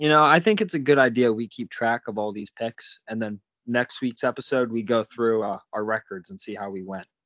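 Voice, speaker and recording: This man has an ordinary speaking voice, medium in pitch, with ordinary pitch variation. He talks at a moderate pace, and his loudness swings widely. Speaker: sports betting podcast co-host. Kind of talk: casual chat.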